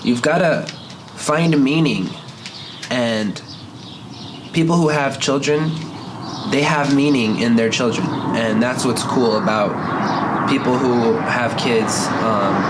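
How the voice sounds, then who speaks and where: A man speaks at medium pitch with ordinary pitch variation and very even loudness, at a very slow pace with long, frequent pauses. Noticeable background noise is present. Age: 20s. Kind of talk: casual monologue to camera.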